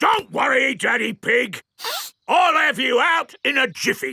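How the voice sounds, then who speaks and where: A raspy, high-pitched cartoonish character voice does the speaking. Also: fairly slow pace. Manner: polite, hesitant.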